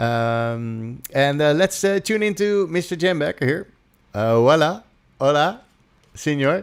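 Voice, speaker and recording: A man with a Dutch accent speaks at a fairly slow pace with a fairly high pitch and lively intonation on a very clean recording with a silent background. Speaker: music production trainer and stream host. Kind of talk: live stream interview. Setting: live stream.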